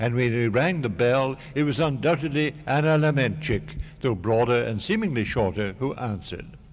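A man at medium pitch with vocal fry and a moderate pace. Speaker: novelist. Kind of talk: reading aloud. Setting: stage with audience.

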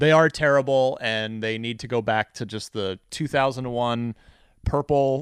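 Medium in pitch and fairly slow, a man with an American accent keeps a fairly even intonation, recorded dry and close with no echo against a quiet background. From New Jersey. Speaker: video game journalist and show host. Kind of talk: casual storytelling interview. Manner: loud.

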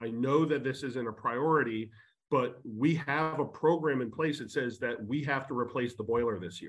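Heard over a quiet background, a man with an unremarkable speaking voice talks at a moderate pace, medium in pitch with ordinary pitch variation. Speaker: panelist in real estate. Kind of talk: panel discussion.

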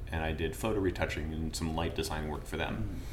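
A man speaks with ordinary pitch variation. Noticeable background noise and audible room echo are present. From Vermont. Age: 30s. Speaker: painter. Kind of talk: casual interview chat. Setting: art gallery studio.

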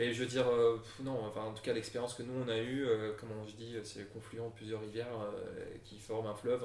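Amid audible room echo and noticeable background noise, a man talks fairly quickly at a medium pitch in a monotone, flat intonation. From Brussels, Belgium. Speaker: company co-founder. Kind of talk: interview. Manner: calm, reassuring; hesitant, many fillers.

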